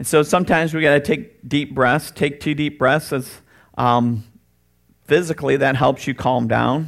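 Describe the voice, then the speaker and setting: On a very clean recording with a silent background, a man speaks in a fairly high pitch with vocal fry and ordinary pitch variation. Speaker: pastor. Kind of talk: sermon. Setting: church. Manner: loud and boisterous.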